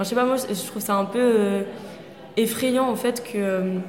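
Noticeable background noise runs under the recording. A woman speaks at a medium pitch with fairly even intonation. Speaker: master's student. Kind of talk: casual chat.

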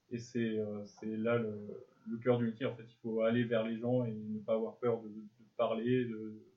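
Speaking at a fairly slow pace, a man with medium pitch keeps a monotone, flat intonation while his loudness swings widely. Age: 20s. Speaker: journalism student. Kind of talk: interview. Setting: school resource centre. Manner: halting, repeats words.

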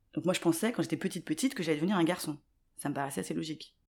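On a very clean recording with a silent background, a woman with a fairly low voice talks very fast with lively intonation. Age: 40s. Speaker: aspiring video maker. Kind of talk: interview.

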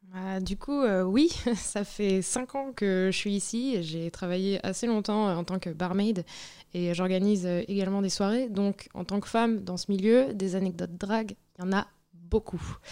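A woman speaks at a fairly slow pace and medium pitch, her tone dark and mellow, with ordinary pitch variation. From Brittany, France. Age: young. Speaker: barmaid. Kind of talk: interview, casual chat. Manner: hesitant, many fillers.

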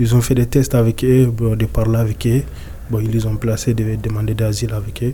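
A medium-pitched man with monotone, flat intonation. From Mali. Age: 20s. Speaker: young migrant, street cleaner. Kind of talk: interview testimony. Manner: halting.

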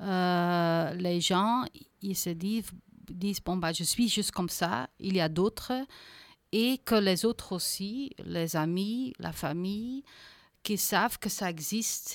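A woman speaks at a very slow pace. The sound is dry and close with no echo, in a very clean recording with a silent background. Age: 40s. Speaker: association founder. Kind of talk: interview. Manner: halting, with frequent hesitations.

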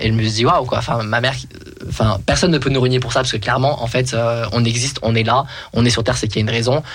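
A man of medium pitch speaks at a very fast pace with fairly even intonation. His loudness stays very even amid audible room echo. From France, of Algerian descent. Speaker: author and singer. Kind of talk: testimony.

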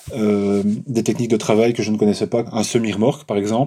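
The tone is dark and mellow, the intonation fairly even, with a Walloon accent, on a very clean recording with a silent background. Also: man. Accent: Belgian French (Walloon). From Belgium, Charleroi. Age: 40s. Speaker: graphic designer, fanzine creator. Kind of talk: interview. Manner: halting, many hesitations and repetitions.

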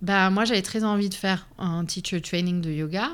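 A woman with an ordinary speaking voice at a medium pitch, fairly even intonation and a very clean recording with a silent background. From Lebanon and Canada. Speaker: immigrant sharing her life story. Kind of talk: interview testimony. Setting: studio.

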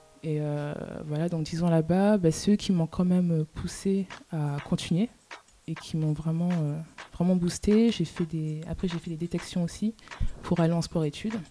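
Noticeable background noise sits behind a woman speaking at a fairly slow pace. Her pitch is fairly low, with fairly even intonation. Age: 20s. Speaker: student volleyball player. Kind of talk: radio interview.

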